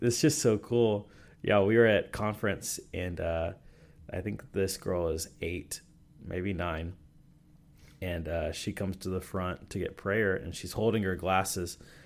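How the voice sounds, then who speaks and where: A man with an American accent speaks fairly slowly in a very deep, low pitch with ordinary pitch variation. The recording is very clean, with a silent background. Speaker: pastor. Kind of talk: casual chat.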